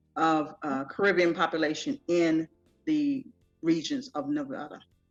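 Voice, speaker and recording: A woman with an American accent and a fairly low voice, music in the background. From Trinidad and Tobago, raised mostly in the US. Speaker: festival founder. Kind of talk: interview.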